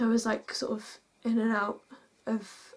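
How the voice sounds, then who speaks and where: A woman speaks in a somewhat breathy voice with a dark, mellow tone. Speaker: vlogger telling a personal story. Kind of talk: emotional storytime vlog. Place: home room.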